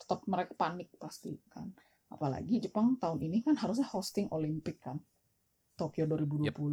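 Fairly quick and lively in intonation, a woman's fairly low voice comes across dark, mellow and somewhat breathy. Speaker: guest living abroad. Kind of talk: casual chat.

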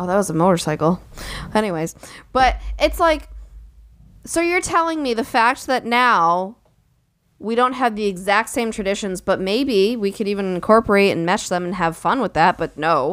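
At a moderate pace, someone talks in a normal speaking voice with lively intonation. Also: woman, medium pitch for a woman. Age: 20s. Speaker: podcast co-host. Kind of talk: casual chat.

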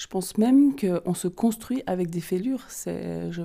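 A woman's dark, mellow tone in a Vaud accent, at a fairly slow pace. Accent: Vaud Swiss French. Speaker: holistic therapist and card reader. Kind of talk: interview.

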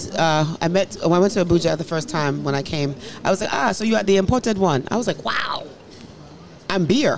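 Speaking fast with an American accent, a woman has a fairly low pitch and lively intonation. Background noise is noticeable, and her pace is fairly quick. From US, of Nigerian parents. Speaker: professor. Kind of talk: casual chat.

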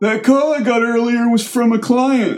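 A man puts on a high-pitched character voice at a moderate pace. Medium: read story.

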